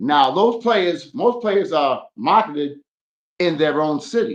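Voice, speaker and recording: A man's pitch swings very widely as he talks in an American accent. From Boston. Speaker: podcast guest. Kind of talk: casual chat.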